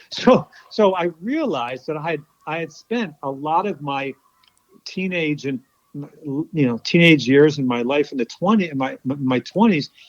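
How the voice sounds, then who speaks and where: The sound is dry and close with no echo. A man speaks fairly slowly at a fairly high pitch, with lively intonation. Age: 60s. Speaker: sports psychology consultant and author. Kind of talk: interview. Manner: halting.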